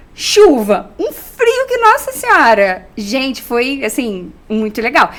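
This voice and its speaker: Noticeable noise sits in the background. Over it, a woman's pitch swings very widely. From Rio de Janeiro, Brazil. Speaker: journalist, TV program host. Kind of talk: interview.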